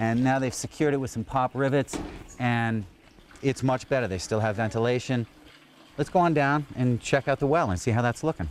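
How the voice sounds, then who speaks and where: A man talks at a fairly quick pace with medium pitch and ordinary pitch variation. His is an ordinary speaking voice. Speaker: volunteer tour guide. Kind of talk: on-location guided tour. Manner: casual, conversational.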